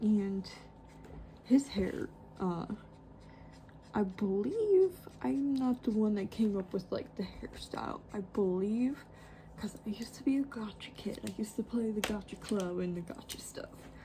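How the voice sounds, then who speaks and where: A soft-spoken woman talks at a fairly slow pace with a medium pitch, leaving long, frequent pauses. Noticeable background noise runs underneath. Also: ordinary pitch variation. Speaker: artist. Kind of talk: tutorial. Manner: hesitant.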